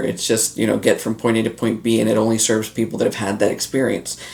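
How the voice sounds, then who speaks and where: A man talks very quickly at a medium pitch. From North Florida, Latin heritage. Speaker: online business coach. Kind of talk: casual talk to camera.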